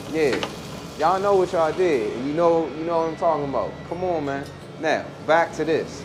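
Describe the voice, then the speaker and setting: Moderate pace in a DC accent, with noticeable background noise and audible room echo. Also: man. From Washington DC. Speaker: musician. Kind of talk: casual chat. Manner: animated.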